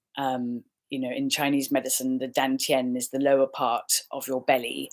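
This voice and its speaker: A woman talks with an English accent. Her pitch is very deep and low, and her intonation is monotone and flat. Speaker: life coach and healer. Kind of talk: casual talk to camera. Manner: warm, friendly.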